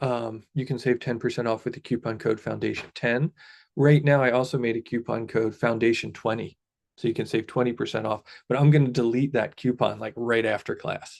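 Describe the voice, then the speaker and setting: A man with an American accent talks at a fairly quick pace and a medium pitch. His intonation is fairly even, with vocal fry. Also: quiet background. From Philadelphia, US. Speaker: meditation teacher and coach. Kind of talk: live-streamed class. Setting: live stream. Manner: casual, filler-heavy.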